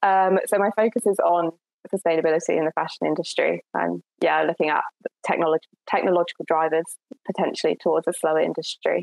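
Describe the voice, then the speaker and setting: Speaking very fast with a southern English accent, a woman holds a very even loudness in a dry, close recording with no echo. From Essex, southern England. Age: 20s. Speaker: climate activist and PhD student. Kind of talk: interview. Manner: hesitant, with frequent fillers and repetitions.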